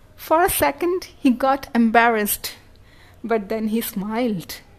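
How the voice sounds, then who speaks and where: A woman speaks very slowly with an Indian accent. Her fairly high voice has lively intonation. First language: Hindi. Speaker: blogger and story writer. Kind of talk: reading aloud.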